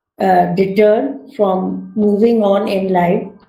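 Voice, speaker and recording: The voice moves at a very slow pace with ordinary pitch variation. Music plays in the background, and the room echo is audible. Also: woman. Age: 60s. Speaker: retired teacher and environmentalist. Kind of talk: talk to an online audience.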